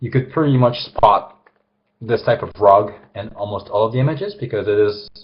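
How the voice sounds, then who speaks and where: Somewhat breathy, a man's voice rises and falls with lively intonation. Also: medium pitch for a man, fairly quick pace. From France. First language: French. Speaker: illustrator. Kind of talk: live drawing demonstration. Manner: hesitant, many fillers.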